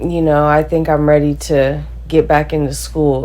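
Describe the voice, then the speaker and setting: There is audible room echo as someone with an American accent talks at a moderate pace. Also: woman. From California. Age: 20s. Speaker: college athlete. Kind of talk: interview testimony. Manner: casual, filler-heavy.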